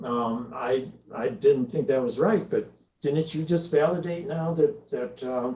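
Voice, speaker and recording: A man's fairly high-pitched voice with a dark, mellow tone, in an American accent, at a fairly slow pace. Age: 80s. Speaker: longtime reader, speaker. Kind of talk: conversational presentation. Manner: halting, many fillers.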